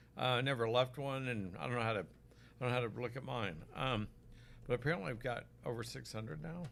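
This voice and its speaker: A man with an American accent speaks at a very fast pace, broken by long, frequent pauses. His medium pitch has ordinary variation and carries vocal fry. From Oklahoma, US. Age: 60s. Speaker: physician selling supplements. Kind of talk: live stream product talk. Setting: live stream on Facebook and YouTube. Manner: casual, conversational.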